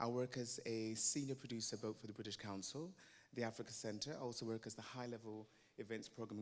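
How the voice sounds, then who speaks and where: The speaker is a man with a medium pitch. He talks at a very fast pace. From Belize. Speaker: former diplomat, arts producer. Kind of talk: panel introduction.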